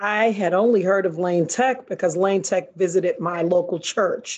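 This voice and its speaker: In a plain, everyday voice, this woman talks at a medium pitch, her pitch varying an ordinary amount. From Chicago West Side. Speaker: high school principal. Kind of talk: interview.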